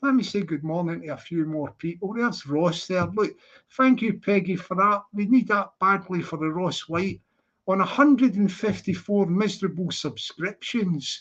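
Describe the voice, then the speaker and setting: A high-pitched man with a Scottish accent. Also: ordinary pitch variation, moderate pace. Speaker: livestreamer. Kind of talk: casual livestream chat. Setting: livestream. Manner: animated.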